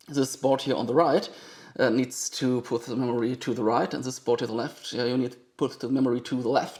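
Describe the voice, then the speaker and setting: Speaking at a fairly quick pace, a man with a strong German accent has a dark, mellow tone. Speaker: vintage computer collector and video maker. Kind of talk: hands-on tutorial commentary. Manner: fast; halting, many fillers.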